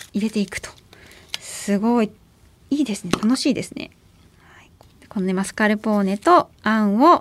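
Long, frequent pauses break up a woman's speech at a moderate pace. Her voice is fairly high, with ordinary pitch variation and big swings in loudness. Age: 30s. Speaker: podcast host interviewing business leaders. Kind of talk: casual chat, food tasting. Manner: animated.

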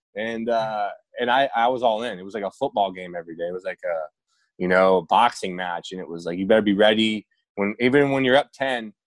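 A man with an unremarkable speaking voice talks at a fairly quick pace in a fairly low pitch, with ordinary pitch variation. His loudness swings widely, and the sound is dry and close with no echo. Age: 30s. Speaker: retired baseball pitcher. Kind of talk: casual interview. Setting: video call.

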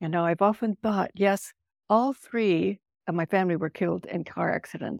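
A woman's fairly quick speech with vocal fry and ordinary pitch variation on a very clean recording with a silent background. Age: 80s. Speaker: author. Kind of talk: casual interview conversation.

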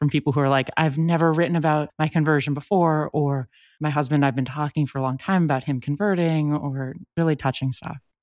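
A woman with a Californian accent speaks at a very fast pace in a very deep, low voice with fairly even intonation, on a very clean recording with a silent background. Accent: Californian American. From US West Coast, San Francisco. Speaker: journalist. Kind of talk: casual interview. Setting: home closet.

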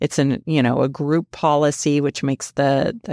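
Her voice is very deep and low, with fairly even intonation at a moderate pace. This woman's recording is very clean and silent in the background, with a dry, close sound and no echo. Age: 50s. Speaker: accountant. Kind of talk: interview.

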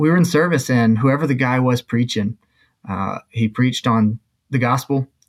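A man with an unremarkable speaking voice talks at a fairly quick pace, keeping a medium pitch and fairly even intonation. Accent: American. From Mexico (US-born missionary kid from Alabama). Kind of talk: testimony.

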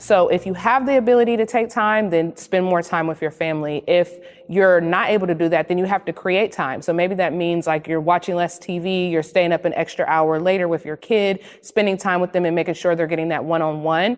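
A woman with an American accent and an unremarkable speaking voice, pitched fairly low. She talks at a fairly quick pace with ordinary pitch variation and hardly any pauses. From US inner city. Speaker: writer and mother. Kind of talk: panel discussion. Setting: video call.

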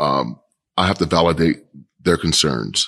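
A man with a very deep, low pitch and vocal fry, in an American accent, with ordinary pitch variation. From Kansas City, Kansas. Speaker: police chief. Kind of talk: interview.

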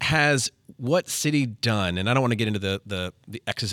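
A man speaks in an unremarkable speaking voice at a moderate pace with ordinary pitch variation, and the recording is very clean with a silent background. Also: dry, close sound with no echo. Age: 30s. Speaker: podcast co-host, youth soccer coach. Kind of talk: casual chat.

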